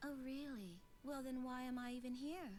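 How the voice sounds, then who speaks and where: A female-sounding, high-pitched put-on character voice at a moderate pace, with clear background noise. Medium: video game. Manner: polite, proper.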